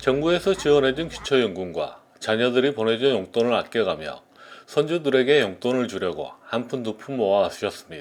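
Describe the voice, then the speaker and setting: With an unremarkable speaking voice, a man talks at a moderate pace and medium pitch, his intonation lively. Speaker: news reporter. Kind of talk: TV news report narration.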